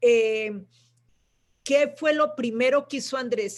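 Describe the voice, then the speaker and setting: With ordinary pitch variation, the words come at a fairly slow pace. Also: woman. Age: 70s. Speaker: writer's sister and guest speaker. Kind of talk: live panel conversation. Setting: live online stream. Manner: halting, many fillers.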